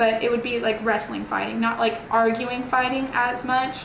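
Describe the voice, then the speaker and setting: A woman with a Texan accent talks at a fairly high pitch with fairly even intonation. Audible room echo and noticeable background noise surround her voice. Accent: Texan American. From Texas, Houston area. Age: 20s. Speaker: nursing student. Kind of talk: interview. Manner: casual, many fillers.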